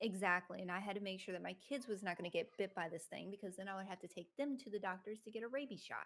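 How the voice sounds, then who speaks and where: A woman with a Southern US accent talks at a very fast pace with hardly any pauses, her shaky voice sitting at a medium pitch with ordinary pitch variation. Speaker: streamer and content creator. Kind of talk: casual chat.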